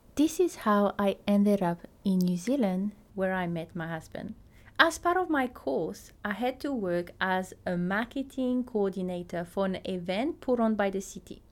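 A woman with a French accent speaks with lively intonation. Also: medium pitch for a woman, moderate pace. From Tahiti. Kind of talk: podcast monologue, personal story and teaching.

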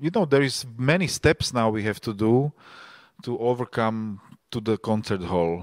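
A man with a Slovak accent, dry and close with no echo, on a very clean recording with a silent background. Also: medium pitch for a man, lively intonation, moderate pace. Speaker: festival organizer and podcast host. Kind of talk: panel discussion. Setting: live stage with audience.

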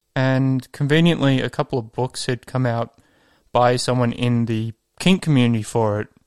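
A man's medium-pitched voice in a very clean recording, with a silent background and a dry, close sound with no echo. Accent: Australian. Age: 30s. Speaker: office worker. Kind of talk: recorded testimony.

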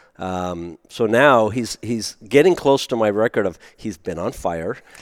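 An unremarkable speaking voice with ordinary pitch variation comes through a very clean recording with a silent background and a dry, close sound with no echo. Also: man. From US (born in Germany, raised American). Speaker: race car driver. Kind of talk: casual interview. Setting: recorded before a live audience.

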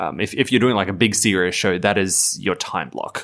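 This man has an ordinary speaking voice with ordinary pitch variation. He talks at a moderate pace. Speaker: podcast host. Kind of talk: casual chat.

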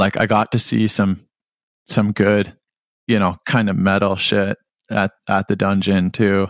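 With a slight Canadian accent, a man speaks at a fairly slow pace in a fairly low pitch, using monotone, flat intonation, very even loudness and long, frequent pauses, in dry, close sound with no echo on a very clean recording with a silent background. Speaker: musician, band frontman. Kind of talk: casual interview chat.

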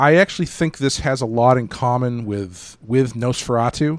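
A man speaks at a moderate pace in an unremarkable speaking voice, with ordinary pitch variation. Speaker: podcast host. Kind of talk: casual chat. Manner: casual, rambling.

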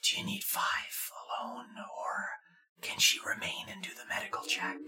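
A whispering, put-on character voice at a moderate pace. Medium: actual play. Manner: formal, measured, polite.

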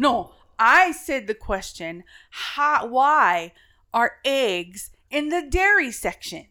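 Speaking very slowly in a raised, projected voice, a woman with a high pitch and a bright, sharp tone makes very wide pitch swings, captured in a very clean recording with a silent background. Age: middle-aged. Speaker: podcast co-host. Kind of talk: casual chat.

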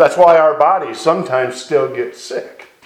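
The speaker is a man with a fairly high pitch. There is audible echo in the room. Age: 50s. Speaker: evangelist. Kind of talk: sermon. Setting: live recording.

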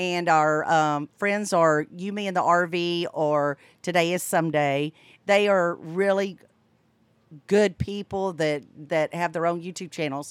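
Here a woman speaks at a fairly low pitch. The recording is very clean, with a silent background. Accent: Southern US. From US South, Florida Panhandle. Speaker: boater and RV travel vlogger. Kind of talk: casual chat. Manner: animated.

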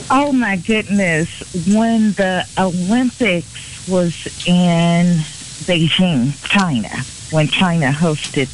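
Noticeable noise fills the background. The words come out very slowly. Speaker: arts program representative. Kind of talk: casual interview chat.

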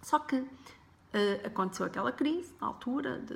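A woman speaks over noticeable background noise. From Portugal, Porto. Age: 40s. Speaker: life coach and podcaster. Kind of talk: personal story monologue.

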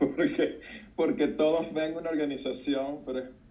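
Speaking at a very slow pace, a man with a fairly high pitch and a dark, mellow tone is heard against audible room echo. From Venezuela, Puerto Cabello. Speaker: doctor, pastor and charity founder. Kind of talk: interview.

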